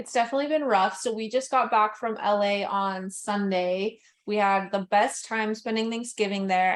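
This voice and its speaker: Speaking at a moderate pace, a woman of medium pitch has an unremarkable speaking voice. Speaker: podcast co-host. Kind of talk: casual chat. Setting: home recording setup.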